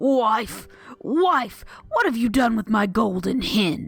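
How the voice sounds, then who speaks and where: Over faint music in the background, a woman puts on a growling character voice at a fairly high pitch and a very slow pace. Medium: read story.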